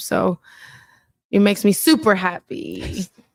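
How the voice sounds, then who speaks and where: A woman's medium-pitched voice with a Spanish accent, dry and close with no echo, in a very clean recording with a silent background. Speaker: pro volleyball player. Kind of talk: press conference answers.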